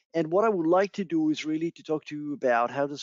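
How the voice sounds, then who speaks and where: A man is talking here. The rise and fall of his pitch is ordinary. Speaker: marketing director at a security company. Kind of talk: conference presentation. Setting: virtual event, remote recording. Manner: halting with many fillers and repetitions.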